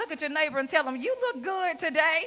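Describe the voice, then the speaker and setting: A woman with a Mississippi accent speaks with very wide pitch swings. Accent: Mississippi Southern US. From US South, rural Mississippi. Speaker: keynote speaker, school principal. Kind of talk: keynote speech. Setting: stage with audience. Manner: loud; animated.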